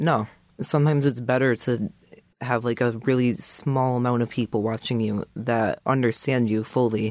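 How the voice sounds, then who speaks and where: Delivered at a moderate pace with fairly even intonation, an unremarkable speaking voice comes through dry and close, with no echo. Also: man. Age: 20s. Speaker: coaching client. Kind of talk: casual interview.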